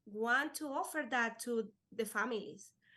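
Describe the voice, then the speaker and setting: A woman speaks fairly slowly in a raised, projected voice. Her tone is bright and sharp. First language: Spanish. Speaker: life insurance agent. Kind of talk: podcast interview. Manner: halting.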